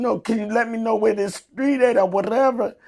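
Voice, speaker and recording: A woman speaks in a fairly high voice with fairly even intonation, an ordinary speaking voice. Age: 60s. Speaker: Special Olympics athlete. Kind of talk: interview.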